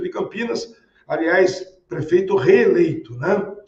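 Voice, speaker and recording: A man speaks at a high pitch with lively intonation. There is audible echo from the room. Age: 60s. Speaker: city housing secretary, politician. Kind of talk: interview. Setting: remote interview. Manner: formal; hesitant fillers.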